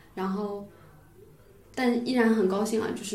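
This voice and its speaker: The woman's voice is at a medium pitch, monotone and flat. Room echo is audible around her. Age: 20s. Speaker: amateur sport climber. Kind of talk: casual chat.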